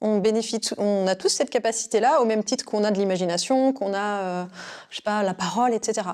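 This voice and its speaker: This woman speaks at a fairly quick pace with a fairly high pitch. Her pitch varies in an ordinary way. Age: 30s. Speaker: intuitive consultant. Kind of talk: interview. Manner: hesitant, many fillers.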